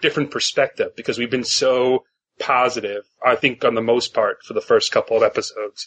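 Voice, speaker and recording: Speaking at a fairly quick pace, a man talks with a northeastern US accent. The sound is dry and close, with no echo. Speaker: podcast host.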